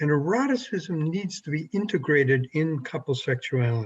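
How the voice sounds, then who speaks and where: A man's fairly high, somewhat breathy voice at a moderate pace with lively intonation. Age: 70s. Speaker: sex therapist. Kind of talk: interview.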